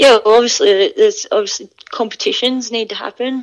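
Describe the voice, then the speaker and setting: A woman speaks with an Australian accent. Her intonation is monotone and flat. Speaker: rugby player. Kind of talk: interview. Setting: remote call.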